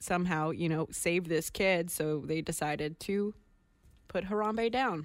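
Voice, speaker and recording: On a very clean recording with a silent background, a woman speaks at a moderate pace. She has an ordinary speaking voice and lively intonation. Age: young. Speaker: radio host. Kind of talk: casual chat.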